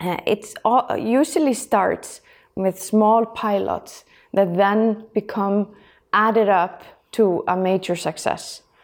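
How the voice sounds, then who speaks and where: Very slow delivery comes with a normal amount of pitch variation. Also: woman, medium pitch for a woman, very clean recording, silent background. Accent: Icelandic. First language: Icelandic. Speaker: energy agency head. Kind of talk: interview. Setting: office.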